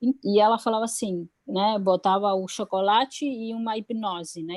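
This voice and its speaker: In a dry, close sound with no echo, a woman speaks at medium pitch. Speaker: public health policy adviser. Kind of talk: online webinar talk. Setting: live stream. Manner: hesitant, many fillers.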